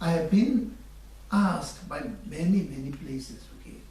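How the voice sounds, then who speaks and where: The speaker has a Tibetan accent and talks at a fairly slow pace. Noticeable background noise and audible room echo fill the recording. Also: man. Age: 60s. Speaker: Buddhist teacher. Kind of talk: dharma teaching.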